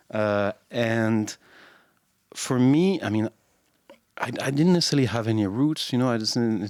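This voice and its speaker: Speaking fairly slowly with a French accent, a man uses a medium pitch and ordinary pitch variation, leaving long, frequent pauses. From France. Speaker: podcast co-host. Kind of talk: casual chat. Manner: halting, many fillers.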